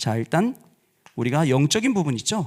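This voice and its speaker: A man talks with lively intonation. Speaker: pastor. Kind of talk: sermon. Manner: deliberately slowed down.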